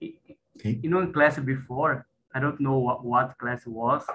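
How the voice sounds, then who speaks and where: Bright and sharp in tone, a man of medium pitch speaks at a fairly slow pace. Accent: Brazilian. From Brazil, Recife. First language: Portuguese. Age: 40s. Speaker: network engineer. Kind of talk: casual conversation practice. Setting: video call.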